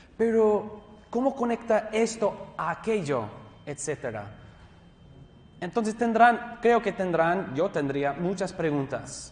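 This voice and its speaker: Pitched high, a man speaks with lively intonation. His pace is very slow, broken by long, frequent pauses. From US West Coast, Los Angeles County. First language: English (speaking Spanish). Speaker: pastor and theology teacher. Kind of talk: lecture. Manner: halting.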